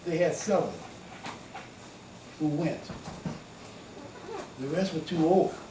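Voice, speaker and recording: Amid audible room echo and noticeable background noise, a man speaks at a high pitch with fairly even intonation and long, frequent pauses. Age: 80s+. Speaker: war veteran. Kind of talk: oral history interview. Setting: at his home. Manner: halting.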